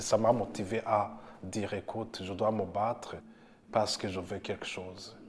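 A man talks at a very slow pace. His pitch is fairly low. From Burundi. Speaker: community organization worker. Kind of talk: personal testimony.

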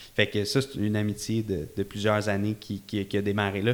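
On a very clean recording with a silent background, a man speaks at a fairly quick pace and a fairly low pitch. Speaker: event entrepreneur. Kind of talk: casual interview chat. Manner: calm.

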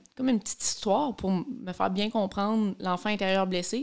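The speaker, with a Quebec accent, uses ordinary pitch variation. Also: woman. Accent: Québécois French. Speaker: podcast co-host, daughter. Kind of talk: casual chat.

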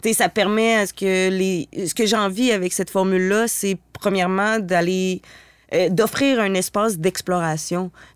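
A woman with an unremarkable speaking voice, medium pitch and fairly even intonation, in a very clean recording with a silent background and a dry, close sound with no echo. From Quebec, Stoneham near Quebec City. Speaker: contemporary dancer and body percussion artist. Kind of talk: casual interview chat.

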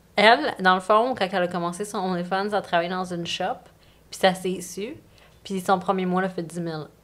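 With a normal speaking voice, a woman talks at a fairly quick pace, her medium pitch held in fairly even intonation. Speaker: OnlyFans creator and coach. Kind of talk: casual chat.

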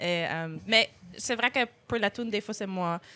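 A woman speaks at a moderate pace and medium pitch in a strong Acadian accent, her voice dry and close with no echo on a very clean recording with a silent background. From Acadian, Clare, Nova Scotia. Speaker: singer-songwriter. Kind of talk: casual interview.

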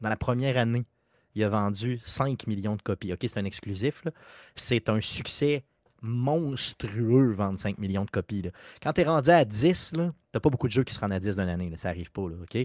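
A man with an ordinary speaking voice talks at a moderate pace and medium pitch, his intonation lively. The sound is dry and close with no echo, in a very clean recording with a silent background. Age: 40s. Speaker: video game podcast guest. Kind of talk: casual chat.

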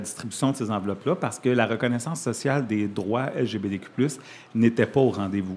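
The speaker has a plain, everyday voice with ordinary pitch variation. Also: man. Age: 40s. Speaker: community organization director. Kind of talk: radio interview.

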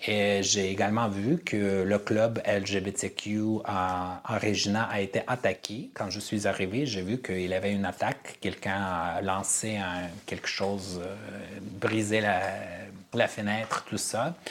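A man with an Armenian accent at a very slow pace, fairly low in pitch, with fairly even intonation. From Armenian family, raised in five countries incl. Uzbekistan. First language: Armenian (speaking French). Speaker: theatre director and playwright. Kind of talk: interview. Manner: halting.

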